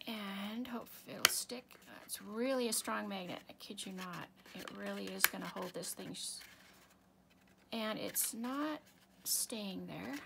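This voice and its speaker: Against noticeable background noise, the speaker is soft-spoken, talking at a very slow pace with long, frequent pauses. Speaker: papercraft tutorial maker. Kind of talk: crafting tutorial. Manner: thinking out loud, trailing off.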